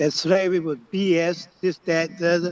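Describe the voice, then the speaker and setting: This man has an American accent and a high pitch. He talks at a fairly slow pace. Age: 70s. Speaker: elder panelist. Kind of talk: testimony.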